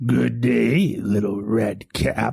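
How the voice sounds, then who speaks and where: A man does a put-on character voice, raspy and fairly low in pitch. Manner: sly, polite.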